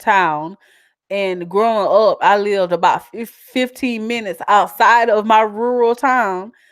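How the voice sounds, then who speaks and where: A woman with a strong Southern accent talks at a fairly slow pace with ordinary pitch variation in a very clean recording with a silent background. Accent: strong Southern twang. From US South. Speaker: YouTuber. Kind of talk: casual live-stream chat. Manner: animated.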